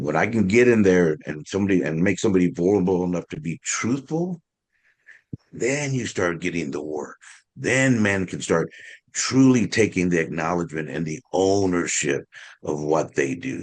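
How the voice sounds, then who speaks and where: This man has a very deep, low pitch and an American accent. His intonation is lively. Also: moderate pace. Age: 60s. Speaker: community advocate. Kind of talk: panel discussion.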